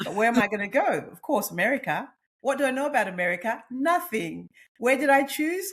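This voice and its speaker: A woman with an Australian accent talks at a fairly quick pace. Her animated tone has very wide pitch swings. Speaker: nutritionist and menopause coach. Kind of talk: podcast interview.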